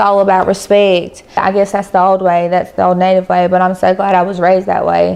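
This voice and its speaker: Fairly quick, monotone, flat speech in an American accent, with very even loudness, hardly any pauses and noticeable background noise. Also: woman, medium pitch for a woman. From Robeson County, North Carolina (Lumbee). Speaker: interviewee. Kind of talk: interview testimony.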